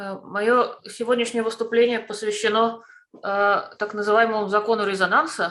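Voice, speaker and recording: Delivery is fairly quick, with monotone, flat intonation. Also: woman, fairly high pitch for a woman. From Russia, Moscow. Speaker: family constellation therapist and shaman. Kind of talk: presentation. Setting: online video call.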